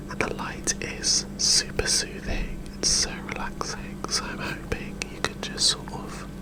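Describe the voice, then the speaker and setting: Amid noticeable background noise, a man whispers at a fairly slow pace with hardly any pauses. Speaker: ASMR creator. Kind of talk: casual ASMR intro to camera. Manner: whispered.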